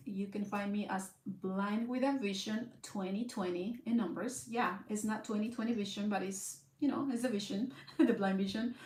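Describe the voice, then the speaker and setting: A woman with a Mexican accent speaks at a moderate pace with ordinary pitch variation. Noticeable background noise and audible room echo are present. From Southern California, Mexican-born. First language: Spanish. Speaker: blind content creator. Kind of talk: casual vlog monologue. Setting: live stream at home in front of camera. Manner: hesitant, many fillers.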